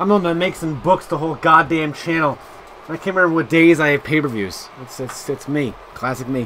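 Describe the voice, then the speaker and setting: Against noticeable background noise, a man talks at a fairly quick pace with a fairly high pitch. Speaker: video game commentator. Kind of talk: live play-by-play commentary. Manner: fast; casual.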